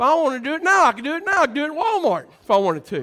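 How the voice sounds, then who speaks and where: A man's raised, projected voice, animated and extremely high-pitched, with very wide pitch swings, a very fast pace and noticeable background noise. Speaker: preacher. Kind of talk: sermon. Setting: church. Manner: excited, loud; animated, exhorting the congregation.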